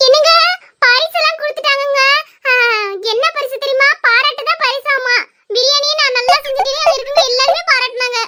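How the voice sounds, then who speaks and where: A female-sounding, cartoonish character voice at an extremely high pitch and a moderate pace. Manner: wheedling, cheerful.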